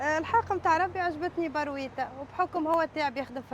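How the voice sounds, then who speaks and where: Noticeable background noise sits in the recording. A woman's speech proceeds at a moderate pace. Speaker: street food vendor. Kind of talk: interview.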